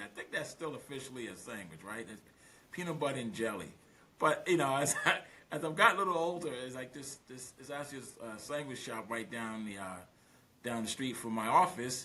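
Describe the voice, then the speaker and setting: Animated and very fast, the speaker uses an American accent with lively intonation and big swings in loudness over noticeable background noise. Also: man. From Brooklyn, New York, West Indian roots. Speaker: business litigation lawyer. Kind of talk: podcast interview.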